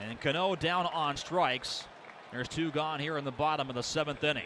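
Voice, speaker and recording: Over crowd noise in the background, a man with a fairly high pitch speaks in a bright, sharp tone with fairly even intonation. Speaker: sports play-by-play announcer. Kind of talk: baseball play-by-play commentary.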